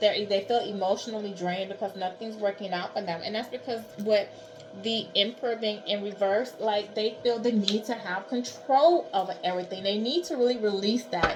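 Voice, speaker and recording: A woman talks with hardly any pauses and ordinary pitch variation. Music plays in the background. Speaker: tarot card reader. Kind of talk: tarot reading. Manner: conversational.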